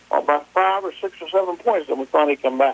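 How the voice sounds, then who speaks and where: A man with an American accent talks at a fairly quick pace. His pitch is fairly high, with noticeable background noise. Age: 70s. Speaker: local sports historian. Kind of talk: radio interview. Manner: halting.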